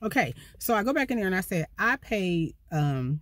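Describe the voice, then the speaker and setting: A woman is heard in a dry sound with no echo against a quiet background. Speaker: van life vlogger. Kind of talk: casual vlog storytime. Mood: annoyed, animated. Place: car. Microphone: phone near.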